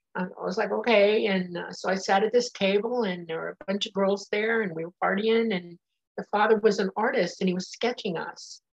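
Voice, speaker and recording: This is a plain, everyday voice at a fairly quick pace with fairly even intonation. The sound is dry and close, with no echo. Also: woman, medium pitch for a woman. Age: 60s. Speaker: nurse and claimed alien contactee. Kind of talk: interview.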